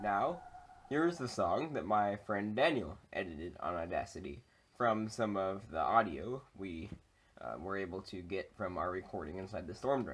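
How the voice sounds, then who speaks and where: In a normal speaking voice, a man with a fairly low pitch talks at a moderate pace with lively intonation. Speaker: video creator. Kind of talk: casual vlog chat. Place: home room. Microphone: webcam.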